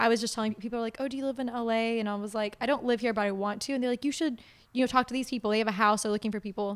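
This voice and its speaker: Here a woman speaks at a very fast pace with an American accent, a fairly high pitch and fairly even intonation. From Oklahoma. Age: 20s. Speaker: model and actress. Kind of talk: casual chat.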